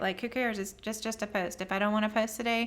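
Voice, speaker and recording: In a Southern US accent, a woman talks with a fairly high pitch and fairly even intonation. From US South, near the Gulf Coast. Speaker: business coach. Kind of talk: live stream talk to viewers. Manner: casual, conversational.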